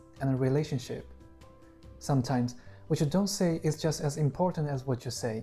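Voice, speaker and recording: With music in the background, a speaker with a Chinese accent talks at a moderate pace. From China. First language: Mandarin Chinese. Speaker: Chinese language teacher. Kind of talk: language lesson to camera.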